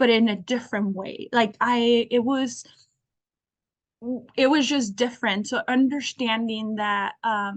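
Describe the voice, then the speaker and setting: A woman's fairly high voice with a Spanish accent, fairly slow and fairly even, broken by long, frequent pauses. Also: quiet background. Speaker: alumni career panelist. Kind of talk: panel discussion.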